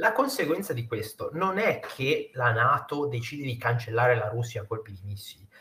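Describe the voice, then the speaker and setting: Speaking at a moderate pace with hardly any pauses, a man lets his loudness swing widely. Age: 30s. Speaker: news content creator. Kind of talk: casual interview chat. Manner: animated.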